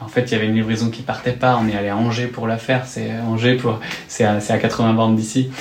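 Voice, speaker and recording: Through audible room echo and noticeable background noise, a man speaks at a fairly quick pace with monotone, flat intonation. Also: medium pitch for a man. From rural western France. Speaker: startup co-founder. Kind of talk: interview. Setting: office.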